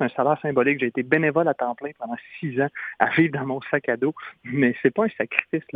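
A fairly quick, fairly high-pitched man in a Quebec accent with ordinary pitch variation. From Quebec, Trois-Rivières. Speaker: humanitarian clown and speaker. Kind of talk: radio interview.

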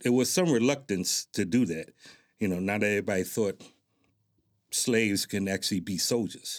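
On a very clean recording with a silent background, a man with an American accent speaks at a moderate pace, using a fairly low pitch with ordinary pitch variation. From Newark, New Jersey. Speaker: military veteran, community organization president. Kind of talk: interview. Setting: studio.

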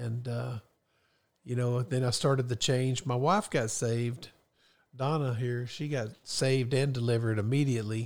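A man's plain, everyday voice at a medium pitch, moderate pace and fairly even intonation, in a very clean recording with a silent background. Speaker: guest, host's father. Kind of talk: casual chat. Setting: studio.

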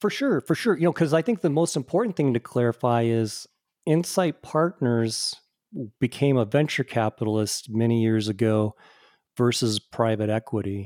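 This man has a plain, everyday voice in a medium pitch, with lively intonation at a moderate pace. His loudness is very even, and the sound is dry and close with no echo. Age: 50s. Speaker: tech industry executive. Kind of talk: casual interview. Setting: remote audio recording.

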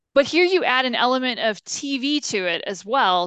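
A woman speaks with lively intonation and a bright, sharp tone. The background is quiet. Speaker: podcast host. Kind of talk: interview.

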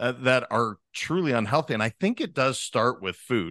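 A man with an American accent, a plain, everyday voice, at medium pitch and a moderate pace against a quiet background. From Montana. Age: 40s. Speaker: leadership coach. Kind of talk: podcast interview. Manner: casual.

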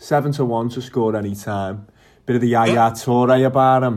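In a very clean recording with a silent background, a man with a Liverpool accent speaks at medium pitch. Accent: Scouse. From Liverpool, England. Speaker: podcast host. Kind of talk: casual chat.

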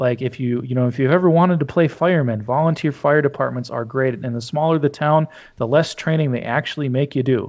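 A man with an Upper Midwest accent talks at a fairly quick pace and fairly high pitch, keeping his intonation fairly even. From North Dakota, rural. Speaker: Lutheran pastor. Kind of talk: interview.

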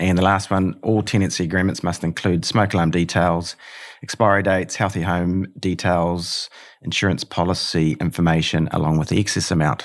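Talking at a fairly quick pace, a man has a very deep, low pitch. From New Zealand, Hamilton. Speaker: property manager. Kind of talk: casual interview.

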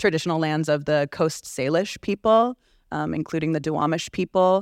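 Over a quiet background, a woman speaks with ordinary pitch variation in a dry, close sound with no echo. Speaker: therapist and event co-host. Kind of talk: guided grounding and panel discussion.

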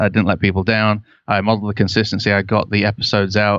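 Speaking very fast in a Lancashire accent, a man with a fairly low pitch keeps a monotone, flat intonation. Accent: northern English (Lancashire). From Canada, Ontario (St. Catharines). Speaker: web agency owner and podcast host. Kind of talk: interview conversation. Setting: remote call.

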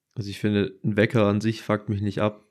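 Fairly quick, flat, monotone speech from a man with a fairly low pitch, on a very clean recording with a silent background. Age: 20s. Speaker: podcast co-host. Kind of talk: casual chat.

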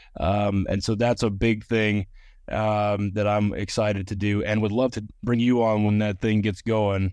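With an American accent, a man speaks at a fairly slow pace in a fairly low pitch. His intonation is monotone and flat, over a quiet background. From Georgia, US South. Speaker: former film extra. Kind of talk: testimony. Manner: halting.

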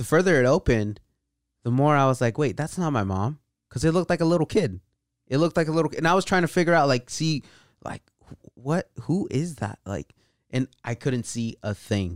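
A man with a Californian accent speaks at a fairly quick pace, his pitch swinging very widely. The recording is very clean, with a silent background and a dry, close sound with no echo. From California, Bay Area and Central Valley. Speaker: marketing team member, guest. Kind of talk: casual chat.

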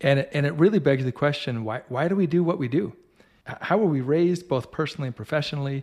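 In a very clean recording with a silent background, a man with a fairly high pitch talks at a very fast pace in an enthusiastic tone, his pitch varying in an ordinary way. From United States. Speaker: podcast host. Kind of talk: interview conversation.

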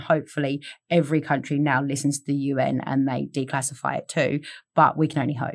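Speaking very fast, a woman talks with an Australian accent. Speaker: content creator. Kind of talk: casual chat.

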